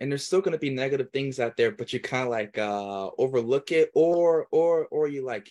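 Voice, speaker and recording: A man speaks at a medium pitch with ordinary pitch variation, and the sound is dry and close with no echo. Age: 20s. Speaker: podcast host, entrepreneur. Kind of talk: casual interview chat. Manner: hesitant, filler-heavy.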